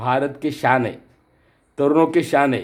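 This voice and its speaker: The speaker is a man. His pitch is fairly high. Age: 60s. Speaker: artist. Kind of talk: commemorative speech. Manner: halting, with repetitions.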